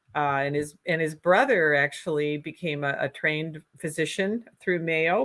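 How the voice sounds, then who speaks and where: This woman speaks at a moderate pace in a very deep, low pitch with a strong Minnesota accent and fairly even intonation. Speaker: political candidate. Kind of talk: interview.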